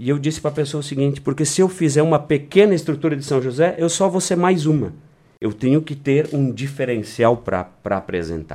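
This man's voice is fairly high-pitched, with a dark, mellow tone. He moves at a fairly quick pace with lively intonation. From Rio Grande do Sul, Brazil (Vale do Taquari). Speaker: small-town mayor. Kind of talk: radio interview. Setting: radio studio.

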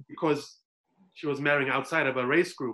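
A man speaks in a fairly high pitch. His tone is bright and sharp. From South Africa. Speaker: hospital social worker. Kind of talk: casual panel discussion.

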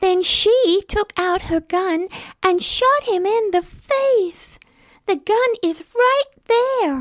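A woman with an extremely high pitch at a very slow pace. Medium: audio drama. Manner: demure, falsely innocent.

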